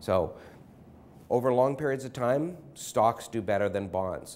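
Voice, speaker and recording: Male speech at a moderate pace with lively intonation. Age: 40s. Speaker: financial advisor. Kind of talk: interview. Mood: friendly, calm, smiling. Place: office. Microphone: lapel.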